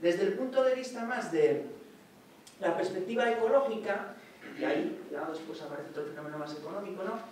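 A man talks fairly quickly at a high pitch with very wide pitch swings, over light background noise and audible room echo. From Asturias, Spain. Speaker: economics professor. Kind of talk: academic lecture. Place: hall.

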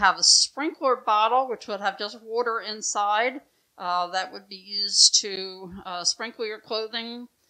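Over a quiet background, a woman speaks in a bright, sharp tone with big swings in loudness. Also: ordinary pitch variation, fairly slow pace. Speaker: museum guide or docent. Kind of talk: educational explanation. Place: home room.

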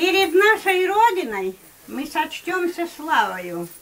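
A woman's raised, projected voice at a very slow pace, with very wide pitch swings and light background noise. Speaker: grandmother reciting poetry. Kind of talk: poetry reading. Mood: solemn, heartfelt. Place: home room. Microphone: camera far.

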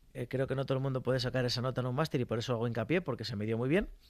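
A man rattles off his words at a very fast pace against a quiet background. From Spain, rural village. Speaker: mechanic and social media creator; social media creator. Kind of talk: casual interview. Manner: animated. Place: studio. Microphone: studio mic.

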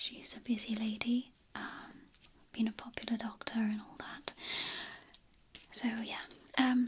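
Whispering at a fairly slow pace, the voice shows big swings in loudness. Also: woman. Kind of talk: roleplay monologue to camera. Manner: soft, close ASMR voice, awkward.

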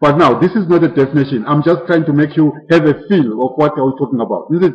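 Somewhat breathy, a man talks at a fairly high pitch with ordinary pitch variation. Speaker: mathematics lecturer. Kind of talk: lecture. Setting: classroom with live students. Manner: interactive, asks class questions often; self-correcting, somewhat halting.

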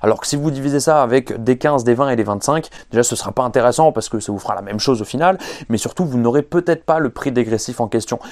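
Music plays in the background. A man talks at a very fast pace with ordinary pitch variation. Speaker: fitness coach. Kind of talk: casual vlog chat. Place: garage.

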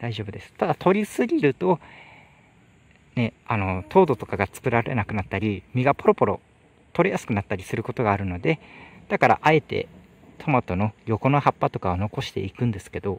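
Talking at a fairly quick pace, a man makes very wide pitch swings and big swings in loudness in a dry sound with no echo. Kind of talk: tutorial. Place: farm machine. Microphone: phone near.

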